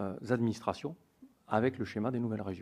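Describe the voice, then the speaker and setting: In a Toulouse accent, a man with a medium pitch and a dark, mellow tone talks at a fairly quick pace with fairly even intonation over a quiet background. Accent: southern French (Toulouse). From southern France, Toulouse area. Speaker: police union representative. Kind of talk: testimony before a parliamentary committee. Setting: hearing room with microphones. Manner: formal.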